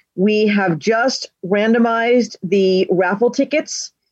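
A woman speaks at medium pitch with ordinary pitch variation. Hers is a plain, everyday voice. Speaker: convention coordinator and moderator. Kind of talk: moderating a virtual convention session. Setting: video call.

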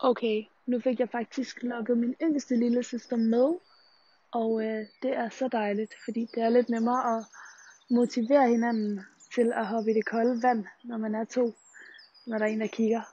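Fairly high-pitched and dark, mellow in tone, a woman speaks in a flat monotone at a fairly slow pace, with long, frequent pauses. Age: 20s. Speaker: student radio host. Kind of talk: vlog-style monologue. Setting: outdoors.

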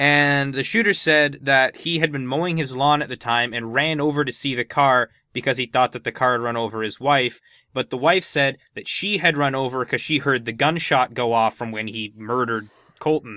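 The speaker uses a plain, everyday voice, keeping a moderate tempo and ordinary pitch variation. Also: man, medium pitch for a man. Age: 20s. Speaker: podcast panelist. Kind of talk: casual chat.

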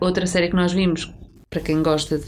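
A woman speaks at a moderate pace. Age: 30s. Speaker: podcast co-host. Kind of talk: casual chat.

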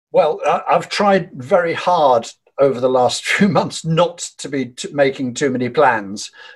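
The voice is somewhat breathy, with lively intonation. Delivery comes at a fairly slow pace. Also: man, fairly high pitch for a man. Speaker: folk and Americana musician. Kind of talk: interview.

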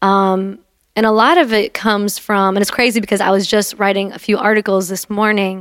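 At a moderate pace, a woman speaks in a monotone with flat intonation. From Algerian background. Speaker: poet. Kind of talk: casual chat. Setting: studio.

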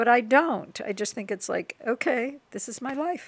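A woman's normal speaking voice with an American accent, lively intonation and a fairly slow pace. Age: 60s. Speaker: person with type one diabetes. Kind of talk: interview, personal storytelling.

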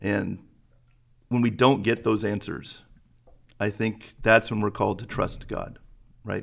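This man's pitch sits fairly low, with vocal fry. His delivery is monotone and flat. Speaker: church elder and high school Bible teacher. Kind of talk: podcast host moderating Q&A.

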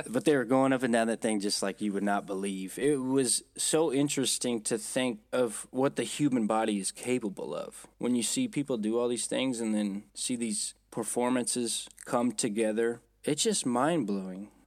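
A man's normal speaking voice at a moderate pace, with ordinary pitch variation and hardly any pauses. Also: medium pitch for a man. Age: 30s. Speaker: podcast co-host. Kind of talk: casual chat. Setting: travelling in Las Vegas, remote recording.

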